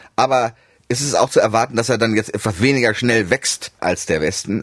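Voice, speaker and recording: A man with an unremarkable speaking voice at a fairly quick pace, the sound dry and close with no echo. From Germany, Hannover and Düsseldorf; half of youth in USA. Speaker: economist, research institute president. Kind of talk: explanatory interview chat.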